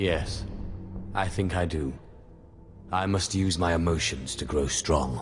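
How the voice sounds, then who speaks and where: Over clear music in the background, a man in a put-on character voice with a very deep, low pitch talks at a fairly slow pace, leaving long, frequent pauses. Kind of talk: video game drama. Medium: video game. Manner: bold, confident.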